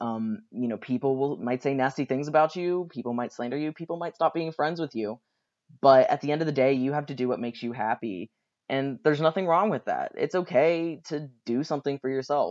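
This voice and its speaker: At a fairly quick pace, a man with a fairly high pitch talks in a normal speaking voice, the sound dry and close with no echo. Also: ordinary pitch variation. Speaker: graduate student speaking on a panel. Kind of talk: recorded talk for a class panel. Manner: casual, with fillers.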